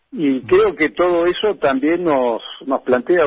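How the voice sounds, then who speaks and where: A man with a Rioplatense accent speaks using lively intonation. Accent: Argentine Spanish (rioplatense). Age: 70s. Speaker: politician and former militant. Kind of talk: radio interview.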